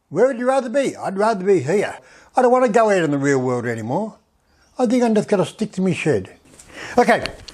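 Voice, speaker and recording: In an Australian accent, a man talks at a very fast pace with a high pitch, very wide pitch swings, and long, frequent pauses. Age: 70s. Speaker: woodworking channel host. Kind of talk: casual tutorial narration. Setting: home workshop shed. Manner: halting, many fillers and repeats.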